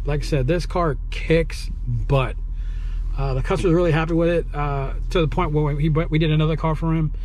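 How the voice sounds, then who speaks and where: The sound is dry with no echo, with light background noise. A man talks at a moderate pace. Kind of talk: tutorial. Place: car. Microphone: phone near.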